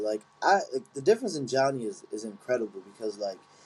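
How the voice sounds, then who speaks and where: In a Philadelphia accent, a man speaks with a dark, mellow tone at a medium pitch, his voice making very wide pitch swings. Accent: Philadelphia-area American. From Chester, Pennsylvania (Philadelphia area). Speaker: Muay Thai fighter and coach. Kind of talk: casual interview chat.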